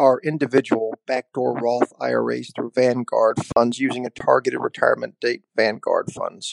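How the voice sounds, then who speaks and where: In a dry, close sound with no echo, a man talks at a moderate pace. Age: 30s. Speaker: listener caller. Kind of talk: recorded voicemail question.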